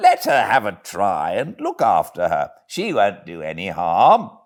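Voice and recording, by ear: A put-on character voice in a British accent, with very wide pitch swings. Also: man, low pitch for a man, fairly slow pace.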